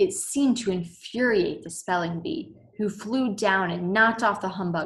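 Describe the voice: The text is given plain reading aloud.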